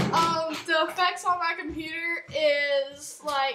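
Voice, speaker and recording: Amid noticeable background noise, a woman speaks in a raised, projected voice at a very slow pace. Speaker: home vlogger. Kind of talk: casual vlog chat. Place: home room. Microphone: webcam.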